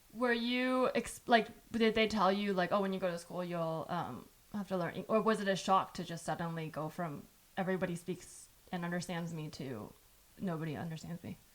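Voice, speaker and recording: A woman with a Californian accent, ordinary pitch variation and a moderate pace. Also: medium pitch for a woman. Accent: Californian American. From US West, San Jose, California. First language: Chinese. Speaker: podcast host. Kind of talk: casual chat.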